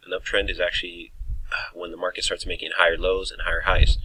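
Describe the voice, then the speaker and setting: Very fast male speech over noticeable background noise. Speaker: trading educator. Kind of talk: tutorial. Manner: casual, hesitant with fillers.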